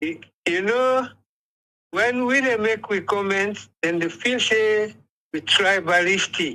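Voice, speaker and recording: A man speaks in a raised, projected voice that is high in pitch and bright and sharp in tone, with ordinary pitch variation. He goes at a very slow pace with long, frequent pauses. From Sierra Leone. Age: 70s. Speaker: caller. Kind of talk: call-in commentary. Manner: impassioned, stammering.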